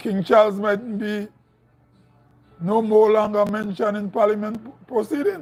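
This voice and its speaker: Speaking with a northern Grenadian accent, a man talks at a moderate pace and high pitch, leaving long, frequent pauses. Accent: northern Grenadian, like Carriacou. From Grenada, Saint Patrick Parish. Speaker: political commentator. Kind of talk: live stream commentary. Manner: halting, repeats words.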